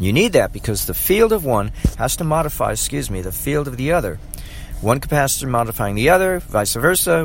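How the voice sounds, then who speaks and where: With noticeable background noise behind him, the man keeps a moderate pace at medium pitch. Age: 60s. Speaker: amateur electrical engineering enthusiast and rideshare driver. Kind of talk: solo rambling monologue. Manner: halting, many fillers.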